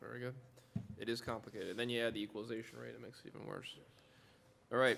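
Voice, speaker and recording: A man speaks at a very fast pace with vocal fry. His intonation is monotone and flat. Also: medium pitch for a man, big swings in loudness. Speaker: town supervisor chairing board meeting. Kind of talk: public meeting procedure. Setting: town board meeting room. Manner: formal.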